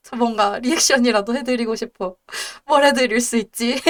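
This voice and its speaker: Her pitch fairly high and its variation ordinary, a woman speaks. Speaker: debuting virtual streamer. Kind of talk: casual live stream chat. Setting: live stream. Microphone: headset mic, breath noise crackles.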